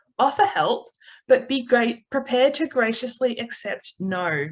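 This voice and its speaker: With an Australian accent, a woman speaks at a fairly slow pace in a fairly high pitch, her intonation lively. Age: young. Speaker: birding accessibility advocate. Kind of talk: webinar presentation.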